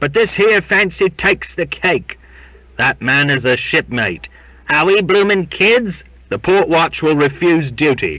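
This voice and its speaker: Putting on a character voice, a man sounds gruff at a high pitch, with lively intonation, very even loudness and a moderate pace. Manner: indignant, complaining.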